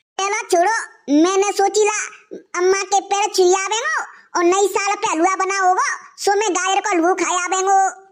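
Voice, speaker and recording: At a moderate pace, a cartoonish character voice comes through at an extremely high pitch. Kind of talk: rustic cartoon comedy. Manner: cheeky, playful.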